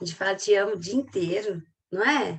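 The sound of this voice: A woman speaks with a Minas Gerais accent and very wide pitch swings. Her voice is somewhat breathy. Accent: Minas Gerais Brazilian Portuguese.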